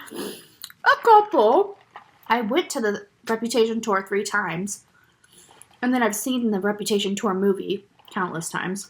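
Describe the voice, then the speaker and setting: A woman with an American accent speaks fairly slowly in an ordinary speaking voice, her pitch fairly high and its variation ordinary. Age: 20s. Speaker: vlogger. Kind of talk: casual chat. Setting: eating on camera.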